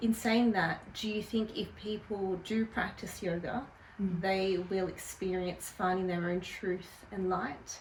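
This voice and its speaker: This woman has an ordinary speaking voice with a medium pitch. She goes fairly slowly, keeping her intonation fairly even. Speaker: interview host. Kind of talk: interviewer questions.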